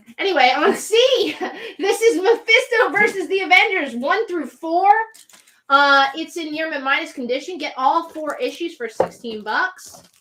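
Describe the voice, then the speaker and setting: Projecting a raised voice with a bright, sharp tone, a woman speaks at an extremely high pitch and a moderate pace, her pitch swinging very widely and her loudness swinging greatly. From New Jersey (Central). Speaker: comic shop live sale host. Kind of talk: live sales stream.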